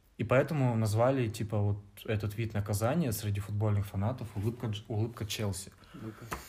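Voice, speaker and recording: A man's fairly low, dark, mellow and somewhat breathy voice with fairly even intonation. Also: fairly quick pace. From Vladivostok, Russian Far East. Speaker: podcast co-host, student. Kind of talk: casual chat.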